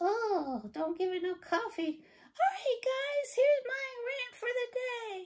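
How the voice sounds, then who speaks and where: In a cartoonish character voice, a female-sounding voice with an extremely high pitch for a woman talks at a fairly slow pace. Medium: puppet. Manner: animated, ranting.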